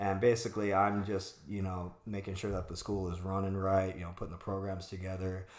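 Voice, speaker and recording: In an American accent, a man with a very deep, low pitch speaks at a fairly quick pace in a monotone, flat delivery with hardly any pauses, and audible room echo surrounds him. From Arizona, US. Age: 40s. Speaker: martial arts instructor and studio owner. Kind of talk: casual interview chat.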